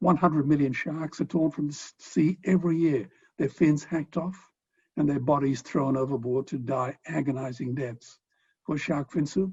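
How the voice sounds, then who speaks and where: A man with an Australian accent talks at a moderate pace in a fairly high, somewhat breathy voice with ordinary pitch variation. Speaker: philanthropist and animal rights speaker. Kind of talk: speech.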